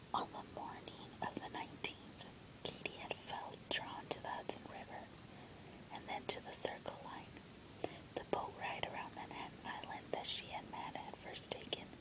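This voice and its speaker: The voice whispers at a moderate pace. Background noise is noticeable. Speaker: ASMR book reader. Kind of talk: relaxation book reading. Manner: whispered.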